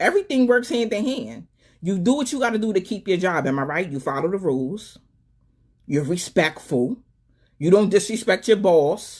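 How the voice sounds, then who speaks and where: With an animated tone, a woman of medium pitch lets her voice swing very widely in pitch. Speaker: live stream talk show host. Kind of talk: live stream monologue with call-ins. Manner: fast.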